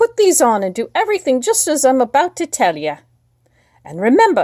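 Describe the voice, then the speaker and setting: A woman puts on a character voice, high-pitched and fairly quick. Her pitch swings very widely. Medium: read story. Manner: warm, coaxing.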